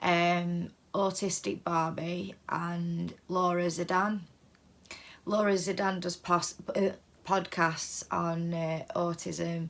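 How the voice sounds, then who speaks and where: A woman's fairly low voice at a very slow pace, monotone and flat in intonation. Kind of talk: casual vlog monologue. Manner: hesitant, many fillers.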